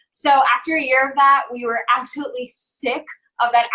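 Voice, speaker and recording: A woman with a slight New Jersey accent talks at a moderate pace in a bright, sharp tone. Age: 20s. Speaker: health and fitness coach. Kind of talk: interview testimony.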